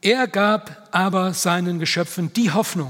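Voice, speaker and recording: A high-pitched male voice with ordinary pitch variation over noticeable background noise. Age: 70s. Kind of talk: talk at church event.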